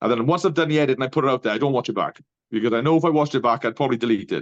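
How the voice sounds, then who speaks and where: A man is heard against a quiet background. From Wales, Welsh village. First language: Welsh. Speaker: barber coach. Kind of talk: interview conversation. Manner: careful with words.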